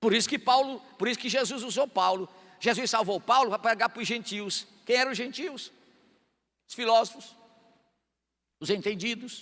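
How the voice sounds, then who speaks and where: A man talks at a moderate pace with an extremely high pitch and ordinary pitch variation. His tone is bright and sharp, broken by long, frequent pauses. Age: 60s. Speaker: pastor. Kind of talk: sermon.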